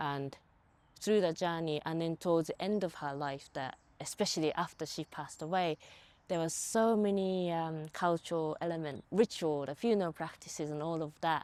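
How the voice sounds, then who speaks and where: A woman speaks in a Japanese accent at a fairly low pitch and moderate pace, with ordinary pitch variation. The recording is very clean and the background silent. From rural Japan. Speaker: movement artist. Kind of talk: casual chat. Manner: soft-spoken.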